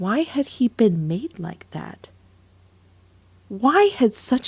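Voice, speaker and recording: A woman speaks at a very slow pace in a somewhat breathy voice, her pitch swinging very widely. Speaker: voice actor. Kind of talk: audiobook narration.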